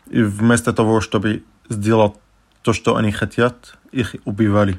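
With an Arabic accent, a man talks at a moderate pace in a fairly low pitch and a monotone, flat intonation. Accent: Arabic accent in Russian. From Syria, Damascus. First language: Arabic (speaking Russian). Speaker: refugee. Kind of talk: interview storytelling. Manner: halting, many fillers.

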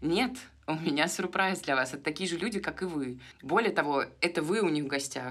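A woman's unremarkable speaking voice with lively intonation. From Moscow, Russia. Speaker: podcast co-host. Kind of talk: casual chat.

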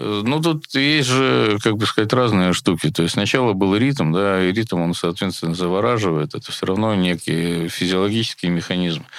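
Over noticeable background noise, a man with a fairly low pitch talks at a moderate pace with lively intonation and hardly any pauses. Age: 60s. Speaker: festival director and musician. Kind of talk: casual interview.

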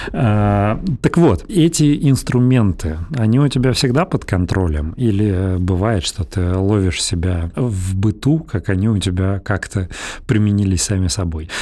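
Recorded very cleanly with a silent background, a man speaks fairly slowly at a fairly low pitch, his dark, mellow tone carrying lively intonation. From Russia, Belgorod. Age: 30s. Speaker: podcast host, lawyer. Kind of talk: casual chat.

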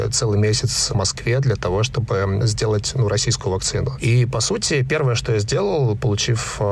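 Noticeable background noise sits behind a man at a medium pitch. He keeps a moderate pace with ordinary pitch variation. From Russian Far East, Khabarovsk. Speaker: entrepreneur, digital agency founder. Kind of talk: interview.

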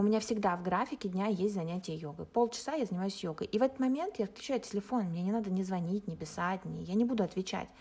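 A woman rattles along at a very fast pace with hardly any pauses. Her medium-pitched, somewhat breathy voice shows ordinary pitch variation. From Russia. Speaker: life coach. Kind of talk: podcast interview.

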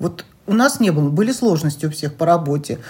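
A woman speaks at a fairly quick pace with lively intonation. Her voice is fairly low in pitch, somewhat breathy and dark and mellow in tone. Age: 60s. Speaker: co-host's mother. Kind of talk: interview.

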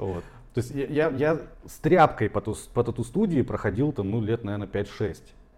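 At a moderate pace, a man talks in a normal speaking voice at medium pitch, with lively intonation and big swings in loudness. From Siberia, Tomsk. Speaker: tattoo artist and marketer. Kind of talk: casual chat.

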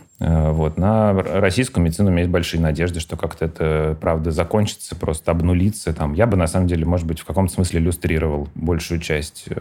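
A man with a very deep, low pitch, fairly even intonation and a fairly quick pace with hardly any pauses, over noticeable background noise. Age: 40s. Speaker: pediatrician. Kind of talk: casual chat.

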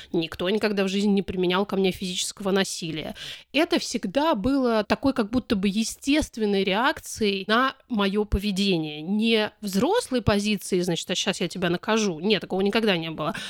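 A woman speaks in a normal speaking voice at a medium pitch with ordinary pitch variation. Her moderate pace comes through in a dry, close sound with no echo. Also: very clean recording, silent background. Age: 40s. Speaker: activist and podcast co-founder. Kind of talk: interview.

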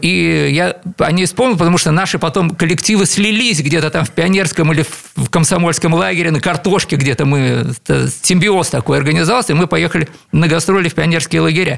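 A man with a fairly high voice talks at a moderate pace with ordinary pitch variation over noticeable background noise. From Leningrad, Russia. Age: 60s. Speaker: composer and keyboardist. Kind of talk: radio interview. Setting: radio studio.

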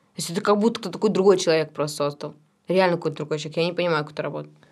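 A woman speaks at a very fast pace. Her voice is fairly low, with ordinary pitch variation. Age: 20s. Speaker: singer in a cover band, directing student. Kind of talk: casual interview chat.

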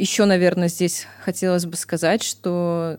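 Here is a woman with an unremarkable speaking voice and a fairly low pitch. Her pace is fairly slow, and her pitch varies in an ordinary way. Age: 30s. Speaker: podcast co-host. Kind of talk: casual podcast conversation.

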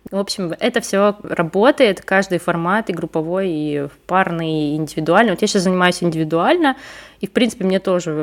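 A woman speaks with a normal speaking voice at a moderate pace. Her intonation is lively. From Russia, Leningrad region. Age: 30s. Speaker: podcast host, copywriter. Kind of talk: casual interview chat.

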